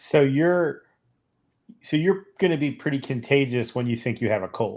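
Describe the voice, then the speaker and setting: A man speaks with an unremarkable speaking voice, fairly high in pitch for a man and with ordinary pitch variation, in a very clean recording with a silent background. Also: moderate pace. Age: 50s. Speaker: podcast co-host, EMS veteran. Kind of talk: podcast interview.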